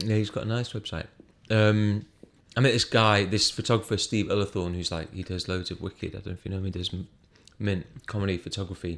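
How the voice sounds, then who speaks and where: Speaking at a very fast pace, a man with a British accent uses a fairly low pitch and fairly even intonation. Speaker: stand-up comedian. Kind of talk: casual chat. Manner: quiet.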